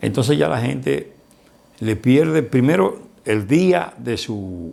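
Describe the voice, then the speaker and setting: A man with a Dominican accent speaks with vocal fry and very wide pitch swings. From Dominican Republic, Barahona. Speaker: lawyer, broadcaster, journalist and writer. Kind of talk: interview answer.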